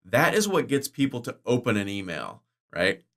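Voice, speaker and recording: Medium pitch marks this man's voice. Around him is a silent background in a very clean recording. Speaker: online course creator. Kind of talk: screen-share income report. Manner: fast.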